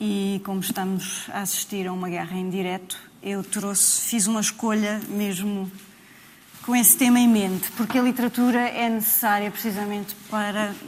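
Speaking with a European Portuguese accent, a woman holds a medium pitch and a monotone, flat intonation at a moderate pace. Noticeable background noise sits behind her. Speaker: writer and translator. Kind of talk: panel discussion.

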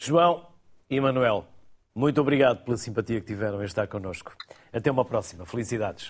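With a European Portuguese accent, a man of medium pitch speaks at a fairly quick pace with lively intonation and long, frequent pauses. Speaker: radio host. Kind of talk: moderated interview discussion. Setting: studio.

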